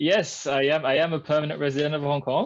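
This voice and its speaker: A man with a French accent at a fairly quick pace, against a quiet background. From France. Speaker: customer experience professional. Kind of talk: interview. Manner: hesitant, many fillers.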